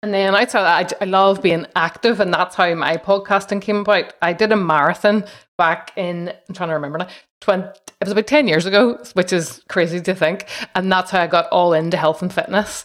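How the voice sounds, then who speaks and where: Talking at a fairly quick pace, a woman has an unremarkable speaking voice at a medium pitch. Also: ordinary pitch variation. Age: 40s. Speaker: podcaster. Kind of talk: casual interview.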